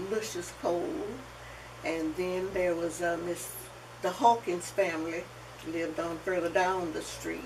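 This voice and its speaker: A woman with a Southern US accent speaks at a fairly slow pace with long, frequent pauses, her fairly low voice fairly even in intonation, amid audible room echo and noticeable background noise. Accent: Southern US (Georgia). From US South, Athens, Georgia. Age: 80s+. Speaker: oral history interviewee. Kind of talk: oral history interview.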